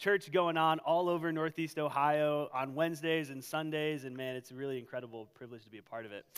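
The background stays quiet. A man's speech comes fairly quickly, with ordinary pitch variation. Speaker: pastor. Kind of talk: sermon. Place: church. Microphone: headset.

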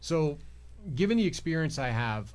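The voice belongs to a man with an American accent. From New York. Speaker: judicial candidate; candidate. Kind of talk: interview. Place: studio. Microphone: studio mic.

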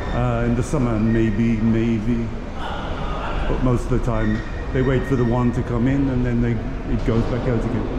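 A man at a moderate pace amid noticeable background noise. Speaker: travel vlogger. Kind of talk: casual vlog commentary. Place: station. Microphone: phone near.

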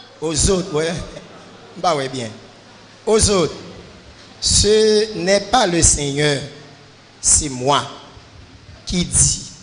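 A man's high-pitched voice in a Haitian accent, very slow, with lively intonation, long, frequent pauses and light background noise. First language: Haitian Creole (speaking French). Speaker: church member asking questions. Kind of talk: Q&A session. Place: church. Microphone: handheld.

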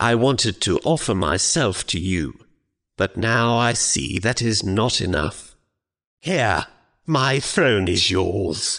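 Against a quiet background, a man does a raspy, put-on character voice at medium pitch, fairly slow and very even in loudness. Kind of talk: stage play acting. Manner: flattering, theatrical, worshipful.

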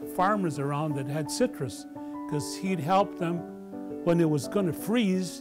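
An American accent at a moderate pace, with clear music in the background. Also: man. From El Toro, Orange County, California. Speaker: oral history interviewee. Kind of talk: oral history interview answer. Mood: warm, nostalgic. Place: home room.

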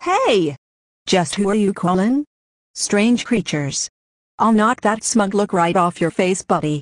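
A put-on character voice, female-sounding, at medium pitch and a fairly slow pace. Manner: angry, threatening.

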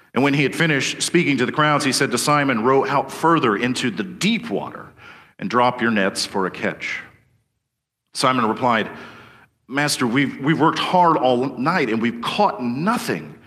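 Over a quiet background, a bright, sharp voice moves at a moderate pace with lively intonation. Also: man. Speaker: preacher. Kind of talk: sermon.

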